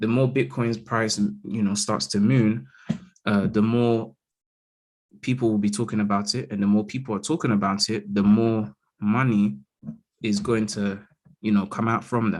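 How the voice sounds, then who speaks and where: A fairly slow-paced voice with a London accent and ordinary pitch variation. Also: man. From London, England. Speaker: crypto market analyst. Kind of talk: live chart analysis stream. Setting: live stream over Zoom. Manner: casual, frequent fillers like okay and all right.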